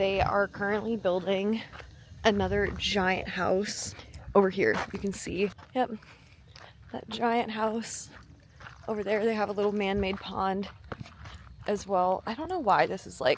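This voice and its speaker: Over noticeable background noise, a woman with an American accent speaks at a fairly slow pace and medium pitch, with fairly even intonation and long, frequent pauses. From Wisconsin, US Midwest. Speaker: fitness vlogger and bodybuilding coach. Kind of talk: casual vlog talk to camera. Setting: outdoors on a walk.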